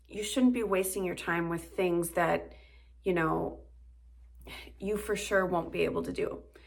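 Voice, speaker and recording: A woman is speaking. Audible room echo follows her voice. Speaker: modeling coach. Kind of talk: tutorial. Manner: casual, with filler words.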